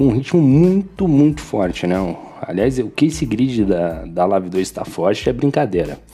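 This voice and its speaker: A man's fairly low voice with very wide pitch swings and hardly any pauses, over music in the background. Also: moderate pace. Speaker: sim racing podcast host. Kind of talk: post-race recap podcast. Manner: casual, filler-heavy with repetitions.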